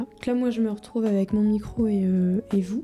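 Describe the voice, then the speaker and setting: A woman talks at a medium pitch with monotone, flat intonation. Noticeable background noise runs underneath. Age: 20s. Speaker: vlogger. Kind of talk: personal video diary. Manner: halting, many fillers.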